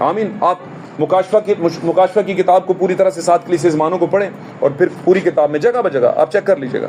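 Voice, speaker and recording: Through noticeable background noise, a man talks at a high pitch with fairly even intonation. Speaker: church pastor delivering a sermon. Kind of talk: sermon to a congregation.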